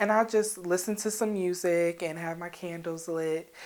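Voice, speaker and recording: The woman's speed is moderate. She varies her pitch in an ordinary way. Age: 20s. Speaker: interviewee in self-love video project. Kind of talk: personal testimony interview. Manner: loud at times; casual, filler-heavy speech.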